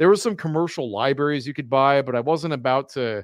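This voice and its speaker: In an unremarkable speaking voice, a man with fairly high pitch and lively intonation is heard on a very clean, dry, close recording with no echo and a silent background. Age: 30s. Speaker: software company founder and open source project lead. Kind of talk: live-streamed retrospective presentation. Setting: live video stream.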